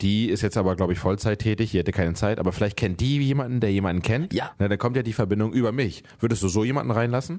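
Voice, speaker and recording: Very fast and with hardly any pauses, a man talks in an animated tone at a fairly low pitch with ordinary pitch variation. His loudness stays very even in a very clean recording with a silent background. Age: 30s. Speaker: podcast host, father of a toddler. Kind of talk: casual chat.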